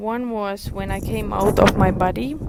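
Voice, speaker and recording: Her pitch is medium for a woman. The woman's intonation stays fairly even. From Estonia. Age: 20s. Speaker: podcaster. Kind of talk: personal storytelling. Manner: halting, many fillers.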